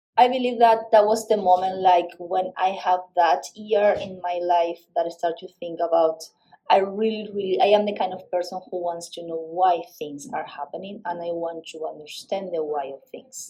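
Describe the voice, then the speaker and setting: A woman with a Uruguayan accent speaks at a moderate pace in a medium-pitched voice, with hardly any pauses. Her pitch varies in an ordinary way while her loudness swings widely. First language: Spanish. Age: 40s. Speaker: physics teacher. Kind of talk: interview.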